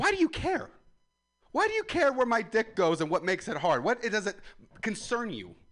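A loud man with very wide pitch swings at a fairly quick pace. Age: 20s. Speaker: comedian. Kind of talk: stand-up. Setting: outdoors.

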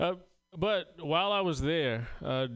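A man talks with a Southern US accent. His intonation is lively. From South Carolina. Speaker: comedian. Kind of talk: stand-up. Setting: stage with audience.

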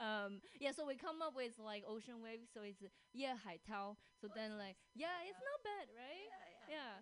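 A woman's high voice with very wide pitch swings. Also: moderate pace. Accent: Chinese. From China. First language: Chinese. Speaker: podcast host and comedian. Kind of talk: casual chat. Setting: studio.

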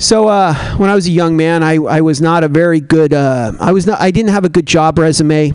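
In an ordinary speaking voice, a man talks at a fairly quick pace with fairly high pitch and ordinary pitch variation. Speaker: stand-up comedian. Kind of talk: stand-up. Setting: stage with audience.

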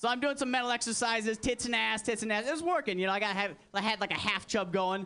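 A man's raised, projected voice, high and bright with a sharp tone, very fast, with very even loudness and ordinary pitch variation. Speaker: stand-up comedian. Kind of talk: stand-up set. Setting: stage with audience (replayed video). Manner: crude, edgy, brash.

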